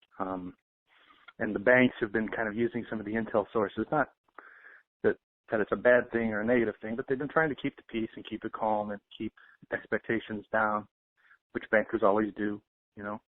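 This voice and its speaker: A fairly low-pitched man talking fairly quickly, with long, frequent pauses. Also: fairly even intonation. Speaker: financial intel commentator. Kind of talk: casual talk.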